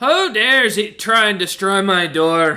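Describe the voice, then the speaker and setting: A man puts on a character voice at a high pitch. He speaks at a moderate pace. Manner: angry, indignant.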